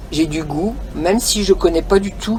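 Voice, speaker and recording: Noticeable background noise fills the recording. A woman talks very slowly. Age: 70s. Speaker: textile artist and vintage seller. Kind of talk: interview. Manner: halting, many hesitations.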